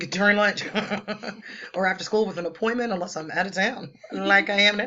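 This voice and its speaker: Fairly quick delivery against noticeable background noise. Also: woman. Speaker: teacher. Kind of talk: lecture.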